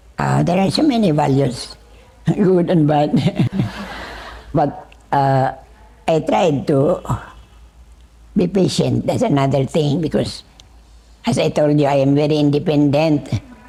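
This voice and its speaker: A woman with a very deep, low pitch speaks at a fairly slow pace, leaving long, frequent pauses. Her loudness is very even and her pitch variation ordinary, over noticeable background noise. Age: 80s+. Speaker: retired religious sister. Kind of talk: interview.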